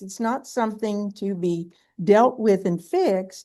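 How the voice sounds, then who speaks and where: With a dark, mellow tone, a woman is talking. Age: 70s. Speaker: book club member. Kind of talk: casual discussion.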